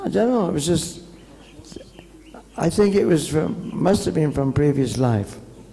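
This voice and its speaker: Noticeable background noise and audible room echo surround a voice with very wide pitch swings at a moderate pace. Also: man, long, frequent pauses, very even loudness. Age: 70s. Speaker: visiting monk giving a lecture. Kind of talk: lecture.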